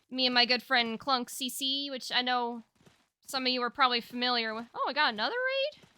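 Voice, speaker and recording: A woman with a high pitch and fairly even intonation. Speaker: streamer. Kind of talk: live stream chat. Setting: live stream. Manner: halting.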